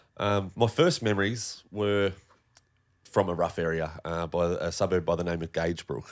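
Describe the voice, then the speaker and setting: A man's very deep, low voice carries fairly even intonation. The recording is very clean, and the background is silent. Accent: Australian. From Tasmania, Australia (northern suburbs of Hobart). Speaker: podcast guest, former metal fabricator. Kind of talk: casual chat, personal story.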